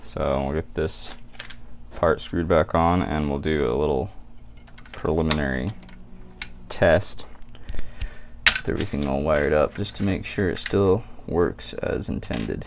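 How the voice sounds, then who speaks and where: The speaker mumbles at a fairly slow pace with long, frequent pauses. Noticeable background noise runs underneath. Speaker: DIY electronics hobbyist. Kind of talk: tutorial. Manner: mumbling; casual.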